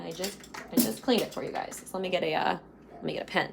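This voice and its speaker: Amid noticeable background noise, a woman speaks very fast at a medium pitch with lively intonation. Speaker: financial coach. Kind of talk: live stream tutorial. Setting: live video stream.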